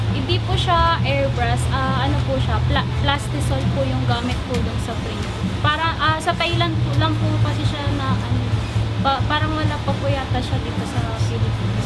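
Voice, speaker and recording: Music plays in the background. The voice moves at a moderate pace. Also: woman. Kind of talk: interview answer. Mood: polite, slightly shy. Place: shop.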